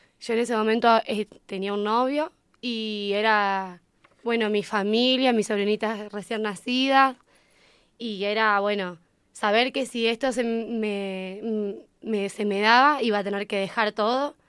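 Very clean recording, silent background, with an unremarkable speaking voice. The delivery is fairly slow, with fairly even intonation. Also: woman, fairly high pitch for a woman. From Argentina, San Nicolás, Buenos Aires province. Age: 20s. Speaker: English teacher. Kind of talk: interview.

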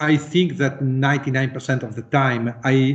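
A man's fairly high-pitched, somewhat breathy voice with an Italian accent. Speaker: musician. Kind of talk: interview. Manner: halting.

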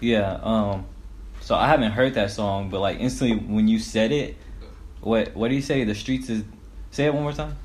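Amid audible room echo, a man with a fairly low pitch and ordinary pitch variation talks at a moderate pace, taking long, frequent pauses. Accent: American. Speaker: rapper. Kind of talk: casual chat.

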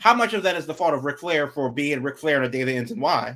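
A normal speaking voice from a man, fairly high in pitch with lively intonation, in a very clean recording with a silent background. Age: 40s. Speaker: wrestling podcast host. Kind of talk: casual chat.

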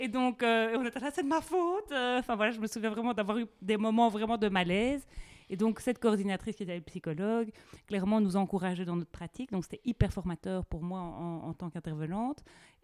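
In an ordinary speaking voice with lively intonation, a woman with a fairly high pitch talks at a fairly quick pace, the sound dry and close with no echo. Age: 30s. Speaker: podcast host, psychoeducator. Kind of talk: interview conversation.

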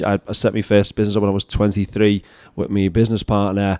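In a very clean recording with a silent background, a man speaks with a Scouse accent. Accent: Scouse (Liverpool English). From England, Liverpool. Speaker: professional speaker and leadership coach. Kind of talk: casual interview chat.

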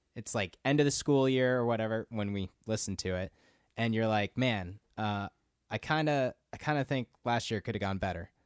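An ordinary speaking voice with an American accent moves at a moderate pace with ordinary pitch variation, in a very clean recording, silent background, and a dry, close sound with no echo. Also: man, medium pitch for a man. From Minnesota. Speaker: podcast guest. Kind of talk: casual chat.

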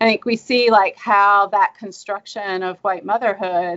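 The delivery comes at a fairly slow pace. It is spoken with a Southern US accent. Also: woman. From US South. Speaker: history professor and author. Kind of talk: academic interview.

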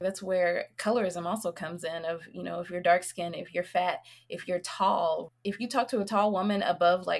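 A woman with an American accent uses an ordinary speaking voice, keeping a moderate pace and fairly even intonation. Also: very clean recording, silent background. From US South, Nashville, Tennessee. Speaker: reproductive justice educator and healer. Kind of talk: casual interview conversation.

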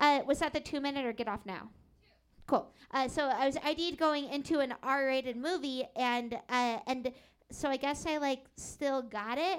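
On a very clean recording with a silent background, a woman with an American accent speaks at a moderate pace. Her pitch is high, with ordinary pitch variation. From Seattle. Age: 20s. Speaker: stand-up comedian. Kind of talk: stand-up. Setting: stage with audience.

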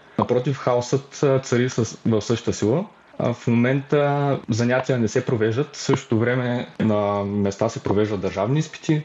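A man with an unremarkable speaking voice talks at a fairly slow pace, using a medium pitch and ordinary pitch variation. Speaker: university student and youth activist. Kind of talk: podcast interview.

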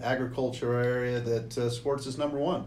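Audible room echo colors this recording. The voice belongs to a man. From US Pacific Northwest (Walla Walla, Washington). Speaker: retired football coach and athletic administrator. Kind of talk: casual interview.

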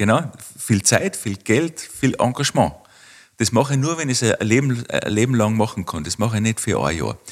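There's vocal fry in this man's medium-pitched voice as he talks at a moderate pace with lively intonation. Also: very clean recording, silent background. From Austria, Tyrol (Kitzbühel district). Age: 40s. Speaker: winter tourism researcher. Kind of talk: interview.

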